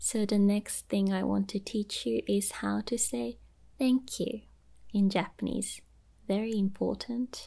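In a quiet background, a soft-spoken woman talks at a fairly slow pace with a gentle tone. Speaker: language teacher. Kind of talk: tutorial. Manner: soft-spoken, gentle ASMR voice. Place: home room. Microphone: phone near.

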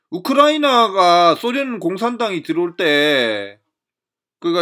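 The recording is very clean, with a silent background. A man speaks at a fairly slow pace in a bright, sharp tone, his pitch swinging very widely. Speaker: political commentator. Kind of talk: lecture. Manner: halting.

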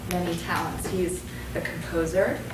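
A woman's fairly low voice at a moderate pace, with little pitch movement, clear background noise and audible room echo.

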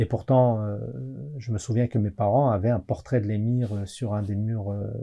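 A man speaks fairly slowly in a somewhat breathy, dark, mellow tone over a quiet background. His pitch is fairly low, with ordinary variation. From France, Algerian heritage. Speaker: historian and author; guest. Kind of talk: interview. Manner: hesitant, many fillers. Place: studio.

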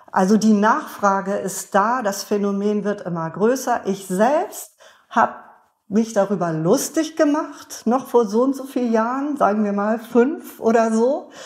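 In a normal speaking voice, the speaker moves at a fairly slow pace with lively intonation. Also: woman, fairly high pitch for a woman. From northern Germany (Bremen). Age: 50s. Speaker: beer sommelier and author. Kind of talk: interview conversation.

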